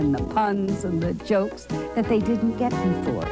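A woman over clear background music, in a dry sound with no echo. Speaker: voice actress interviewee. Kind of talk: interview answer. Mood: warm, animated. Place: studio.

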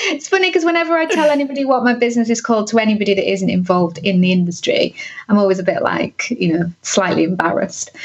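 A woman, very fast and with very wide pitch swings, over noticeable background noise. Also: fairly high pitch for a woman. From northern England (Cumbria). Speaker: content marketing business owner. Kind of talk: interview.

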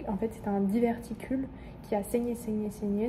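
Her voice is somewhat breathy, with a dark, mellow tone, a fairly high pitch and monotone, flat intonation. The woman speaks at a moderate pace over light background noise. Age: 20s. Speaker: medical student vlogger. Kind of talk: casual vlog. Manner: hesitant, many fillers.

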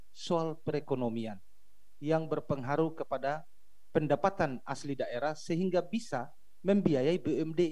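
A man speaks in a normal speaking voice at a fairly slow pace, with a fairly high pitch and ordinary pitch variation. The background is quiet. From Maluku. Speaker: regional politician. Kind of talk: video call question. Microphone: video call.

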